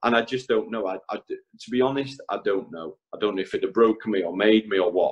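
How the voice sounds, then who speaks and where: Hardly any pauses break up this man's normal speaking voice, which moves at a fairly quick pace with ordinary pitch variation. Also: medium pitch for a man. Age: 30s. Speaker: electrician. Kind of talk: casual chat. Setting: podcast.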